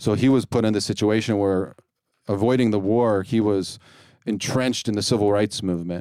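A man with a Midwestern American accent speaks in a fairly low pitch with a dark, mellow tone. His intonation is fairly even, and the recording is very clean with a silent background. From US Midwest, Ohio. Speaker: bilingual education support worker. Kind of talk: casual interview.

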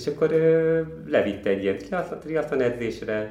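The delivery is very slow in pace, with lively intonation. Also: man. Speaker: ultra runner. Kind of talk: interview.

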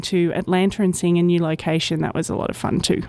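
Speaking fairly quickly with an Australian accent, the woman has a fairly low pitch and a dark, mellow tone. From Australia, Brisbane. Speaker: technical communicator. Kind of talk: interview. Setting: conference.

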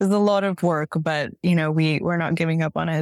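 A woman with a fairly low pitch and an American accent, at a moderate pace, in a dry, close sound with no echo and a very clean recording over a silent background. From US, San Francisco Bay Area. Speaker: nonprofit fundraising and communications director. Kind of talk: casual interview.

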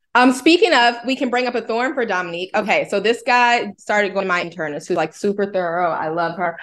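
A woman with an unremarkable speaking voice talks at a fairly quick pace. Her intonation is lively, and the background is quiet. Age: 30s. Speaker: host's wife. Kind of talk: casual chat.

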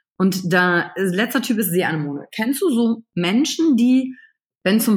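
The speaker is a woman. Her voice has a somewhat breathy quality. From western Germany, Wülfrath near Wuppertal (NRW). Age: 30s. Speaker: emotional intelligence coach. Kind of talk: podcast interview. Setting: remote call from home computer.

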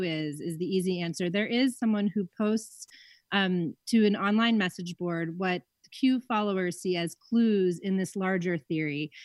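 Dry and close with no echo, a woman with an unremarkable speaking voice and medium pitch talks at a fairly slow pace. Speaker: magazine editor. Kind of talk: radio interview. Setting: remote call.

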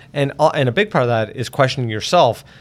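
This man has a plain, everyday voice at medium pitch. His pitch variation is ordinary. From Nova Scotia, Canada. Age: 40s. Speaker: transit agency CEO. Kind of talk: interview.

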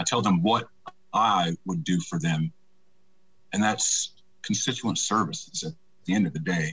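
Lively intonation in a Southern US accent at a moderate pace, with long, frequent pauses. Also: man, very deep, low pitch for a man. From US South, Troy, Alabama. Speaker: political candidate and army veteran. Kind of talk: interview.

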